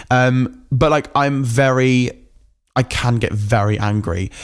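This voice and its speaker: A man with an English accent, medium-pitched and animated, with ordinary pitch variation, on a very clean recording with a silent background. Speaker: podcast host. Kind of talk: casual rant monologue. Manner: fast.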